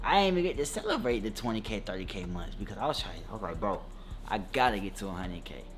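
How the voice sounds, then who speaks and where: Amid audible room echo, a man races along at a very fast pace with vocal fry and very wide pitch swings. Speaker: YouTuber and clothing brand owner. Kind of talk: casual vlog talk to camera.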